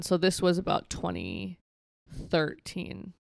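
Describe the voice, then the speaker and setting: Her voice sits fairly low for a woman, and she talks very slowly. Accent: American. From rural Minnesota. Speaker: mental health advocate. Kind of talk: interview.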